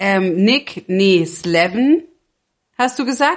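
Very wide swings mark the pitch as a woman speaks. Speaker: podcast co-host. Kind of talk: casual chat.

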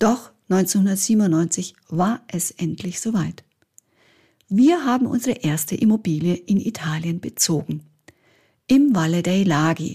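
Very slowly, with long, frequent pauses, a woman talks in a dark, mellow, somewhat breathy tone and lively intonation. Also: medium pitch for a woman. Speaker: podcast host, Italian teacher and property advisor. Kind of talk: scripted monologue.

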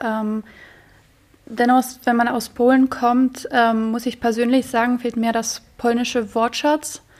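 Speaking very slowly in a Polish accent, a woman keeps her high pitch monotone and flat. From Poland. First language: Polish (speaking German). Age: 20s. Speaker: university student. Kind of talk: interview.

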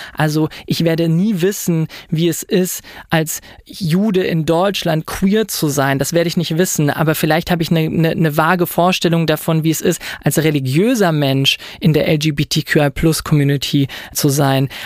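His pitch fairly high, a man speaks at a moderate pace with fairly even intonation and very even loudness. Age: 20s. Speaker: lawyer and doctoral student. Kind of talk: interview.

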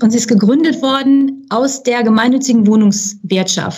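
Her pitch fairly high and her tone dark and mellow, a woman speaks at a moderate pace with ordinary pitch variation. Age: 50s. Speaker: charity secretary-general. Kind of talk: podcast interview. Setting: studio.

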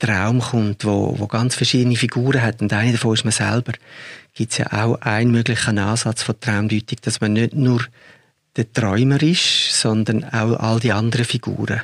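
Monotone, flat intonation at a moderate pace, with a dry, close sound and no echo. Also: man. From Zurich, Switzerland. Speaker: film director. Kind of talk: interview conversation.

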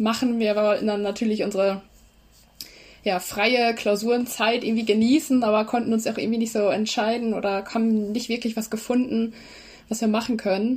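This woman has an unremarkable speaking voice with a fairly high pitch. She talks at a moderate pace with fairly even intonation. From East Frisia, Leer area. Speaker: student, social media creator. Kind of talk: casual interview. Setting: video call.

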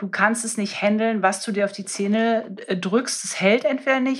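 With ordinary pitch variation, a woman talks fairly slowly in a fairly high pitch. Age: 30s. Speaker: dentist. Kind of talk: casual interview. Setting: in-person recording in host's medical practice. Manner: animated.

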